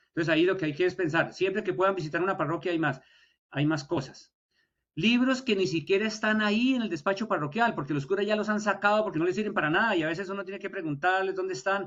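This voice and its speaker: At a very fast pace, a high-pitched man speaks with ordinary pitch variation. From Colombia. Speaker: historian, university lecturer. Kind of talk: lecture.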